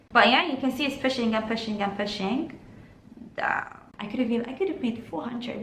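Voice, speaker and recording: Against noticeable background noise and audible room echo, a woman talks at a fairly quick pace. Her pitch is high, with ordinary variation. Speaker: trading educator. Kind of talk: tutorial. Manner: fast.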